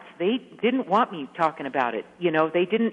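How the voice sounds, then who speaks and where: A woman with an ordinary speaking voice talks at a fairly quick pace and fairly low pitch, her intonation lively. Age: 60s. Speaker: author. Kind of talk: radio interview.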